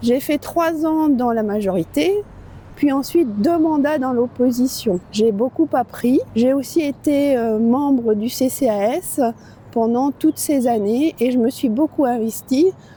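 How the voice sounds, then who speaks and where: A woman speaks at a very slow pace with a high pitch and lively intonation. Noticeable background noise runs under her voice. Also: very even loudness. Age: 60s. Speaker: local election candidate. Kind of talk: campaign video statement. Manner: hesitant with fillers.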